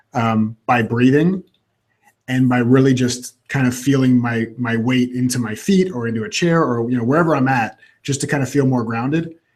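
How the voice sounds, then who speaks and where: A man with an American accent, medium pitch, and ordinary pitch variation. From Florida (Orlando). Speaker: coach. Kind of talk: casual chat. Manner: fast.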